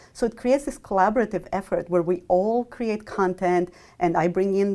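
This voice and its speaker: A woman talks at a fairly quick pace in a Romanian accent. Her tone is dark and mellow. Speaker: mathematics professor. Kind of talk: interview.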